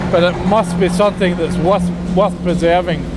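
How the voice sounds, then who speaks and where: A man at a moderate pace beneath loud background noise. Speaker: engineer or site spokesperson. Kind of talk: on-site explanation to camera. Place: tunnel cave.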